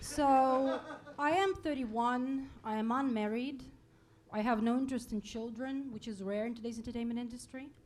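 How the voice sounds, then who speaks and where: A high-pitched woman's voice with audible room echo and noticeable background noise. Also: ordinary pitch variation, moderate pace. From Russia. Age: 30s. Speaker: stand-up comedian. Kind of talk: stand-up. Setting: stage with audience.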